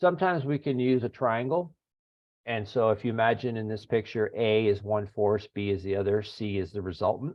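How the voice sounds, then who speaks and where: Using a normal speaking voice, a man talks at a moderate pace and varies his pitch in an ordinary way. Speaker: engineering lecturer. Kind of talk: lecture. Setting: video call.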